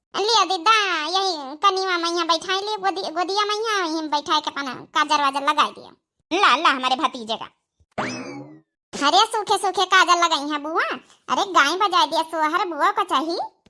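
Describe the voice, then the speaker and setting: Using a cartoonish character voice, the speaker moves at a moderate pace with ordinary pitch variation and big swings in loudness. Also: woman, extremely high pitch for a woman. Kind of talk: village comedy banter.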